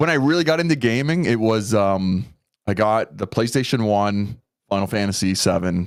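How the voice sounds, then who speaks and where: A man with a Canadian accent speaks in an ordinary speaking voice, fairly low in pitch, with lively intonation at a moderate pace. His loudness stays very even on a very clean recording with a silent background. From Canada. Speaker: content creator. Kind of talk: casual podcast interview.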